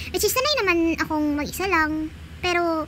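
Over noticeable background noise, a woman talks at a fairly quick pace. Her pitch is extremely high and her intonation fairly even. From Visayas, Philippines. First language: Bisaya (Cebuano) (speaking Tagalog). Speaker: gaming YouTuber. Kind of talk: casual vlog talk; gameplay commentary. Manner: chatty, laughing.

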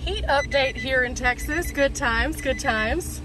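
A woman speaks in a dry sound with no echo, with noticeable background noise behind her. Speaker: van life vlogger. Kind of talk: casual vlog chat. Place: car. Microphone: phone near.

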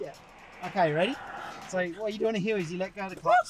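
The sound is dry with no echo, and there is noticeable background noise. A man talks at a very fast pace. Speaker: passenger coaching the driver. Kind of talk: casual vlog chat, instruction. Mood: playful, teasing, slightly tense. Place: car. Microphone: camera far.

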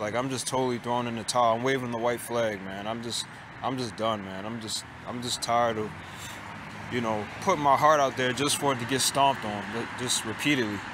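A man talks at a fairly quick pace. Room echo is audible and background noise is noticeable. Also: medium pitch for a man, fairly even intonation. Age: 20s. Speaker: vlogger. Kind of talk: casual monologue vlog.

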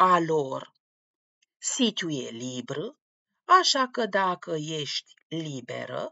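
A woman speaking at a very slow pace. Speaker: language teacher. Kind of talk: tutorial. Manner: formal.

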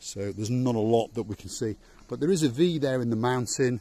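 The man's tone is dark and mellow, and he speaks at a moderate pace. The sound is dry, with no echo. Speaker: travel vlogger. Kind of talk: casual vlog chat. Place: street. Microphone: phone near.

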